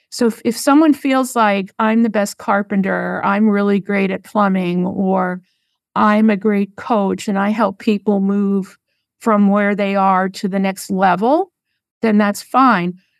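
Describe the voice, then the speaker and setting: Over a quiet background, a woman speaks in an unremarkable speaking voice at a medium pitch. Her intonation is fairly even and her pace fairly slow. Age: 60s. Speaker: marketing business founder and former pastor. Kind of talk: interview, conversational storytelling.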